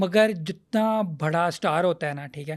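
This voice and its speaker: A man speaks in a high voice with fairly even intonation. The recording is very clean, with a silent background. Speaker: comedian and show host. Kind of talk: interview answer.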